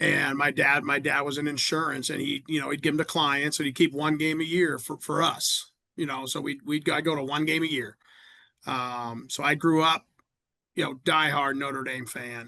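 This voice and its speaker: A man with a Midwestern American accent, fairly high pitch, bright, sharp tone, fairly even intonation and moderate pace. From Indiana, Fort Wayne. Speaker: college football coach. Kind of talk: podcast interview. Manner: halting, many repetitions.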